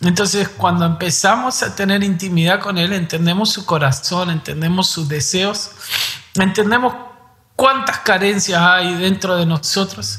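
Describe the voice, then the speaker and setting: Over noticeable background noise, a man raises and projects his high-pitched voice. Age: 30s. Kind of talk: devotional conversation.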